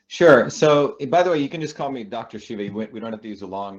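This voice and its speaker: An unremarkable speaking voice with an American accent carries lively intonation. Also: man. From India and New Jersey. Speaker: scientist and political candidate. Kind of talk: interview. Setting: radio show.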